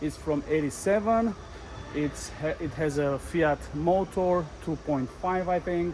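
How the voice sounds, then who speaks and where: Someone with a non-native accent talks at a very slow pace, with ordinary pitch variation. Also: man. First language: not English. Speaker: vlogger selling his motorhome. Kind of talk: casual walkthrough tour. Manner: halting, many fillers.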